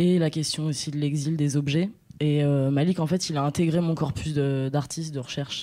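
The voice has a dark, mellow tone and fairly even intonation at a moderate pace, on a very clean recording with a silent background. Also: woman. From Blois area, France. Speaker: artist and researcher. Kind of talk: radio interview. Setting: studio.

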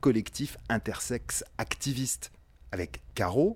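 A man speaks at a medium pitch with vocal fry. The recording is very clean with a silent background. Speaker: radio show host. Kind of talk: radio documentary narration.

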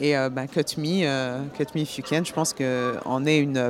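Over noticeable background noise, a woman with a very deep, low pitch speaks at a fairly slow pace with fairly even intonation. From France, born in Paris. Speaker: actress and film producer. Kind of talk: radio interview.

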